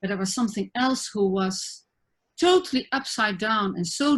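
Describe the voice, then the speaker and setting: Female speech with lively intonation, delivered at a moderate pace. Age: 60s. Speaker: spiritual teacher and therapist. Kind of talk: interview conversation. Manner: halting.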